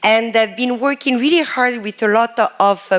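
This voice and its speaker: Noticeable background noise behind a moderate pace and ordinary pitch variation. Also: woman. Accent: French. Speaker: professor. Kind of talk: lecture.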